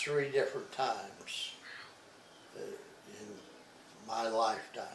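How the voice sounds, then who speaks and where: A man with an American accent speaks at a very slow pace. Audible room echo surrounds his voice. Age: 90s. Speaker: retired dairy farmer. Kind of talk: oral history interview. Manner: halting, hesitant.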